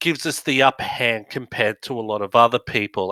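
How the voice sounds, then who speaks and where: The sound is dry and close with no echo as a man talks with an Australian accent. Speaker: business director and dyslexia advocate. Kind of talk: talk to audience. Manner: halting, many fillers.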